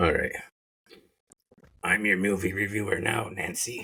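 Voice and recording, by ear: A man does a put-on character voice that is raspy and fairly low in pitch, at a moderate pace.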